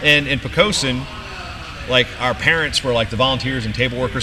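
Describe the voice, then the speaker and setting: Speech comes at a very fast pace over noticeable background noise. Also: man. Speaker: wrestling announcer (PA announcer). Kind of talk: casual interview answer, storytelling.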